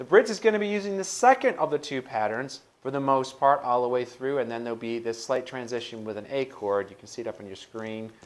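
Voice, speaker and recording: Very fast speech from a man at medium pitch, lively intonation, big swings in loudness and hardly any pauses. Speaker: guitar teacher. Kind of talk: tutorial.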